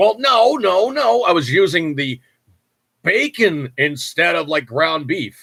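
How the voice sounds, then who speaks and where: In an American accent, a man speaks with fairly high pitch and lively intonation. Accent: New York accent, creeps in at times. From New York. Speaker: podcast host. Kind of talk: casual chat. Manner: casual, filler-heavy.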